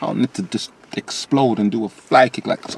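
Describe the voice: At a moderate pace, a man speaks at a fairly low pitch with a slightly mellow tone, vocal fry and a slightly husky edge. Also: ordinary pitch variation.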